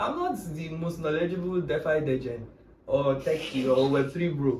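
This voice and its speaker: A man with a Nigerian accent talks at a moderate pace in an animated tone, with audible room echo. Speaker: Web3 tech speaker. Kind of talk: casual chat.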